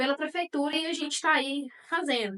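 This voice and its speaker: A woman speaks in a raised, projected voice. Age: 30s. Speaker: animal welfare activist. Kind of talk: interview. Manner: halting, many fillers.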